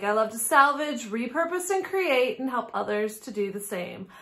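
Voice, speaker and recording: A woman at a moderate pace, with very wide pitch swings. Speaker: antique booth owner vlogger. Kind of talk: casual vlog chat. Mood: cheerful, friendly. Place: home room.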